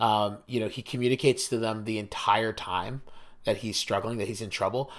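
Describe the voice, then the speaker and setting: A man with an unremarkable speaking voice talks at a moderate pace, his intonation fairly even. The recording is very clean, with a silent background. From US Mid-Atlantic, near Washington DC. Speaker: podcast host. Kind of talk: casual chat.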